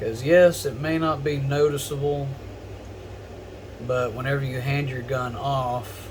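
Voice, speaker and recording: Fairly high male voice, fairly slow and fairly even in intonation, with long, frequent pauses and audible room echo. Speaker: gun customization hobbyist / tutorial creator. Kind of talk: tutorial. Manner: lowered voice while focusing; casual, filler-heavy.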